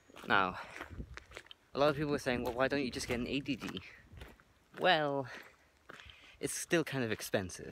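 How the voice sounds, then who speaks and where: Speaking at a moderate pace, a man uses long, frequent pauses. His voice sits at medium pitch with ordinary pitch variation and a bright, sharp tone. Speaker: vlogger, hobby photographer. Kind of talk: casual vlog. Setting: outdoors, hiking. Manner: mumbling; trying to articulate carefully.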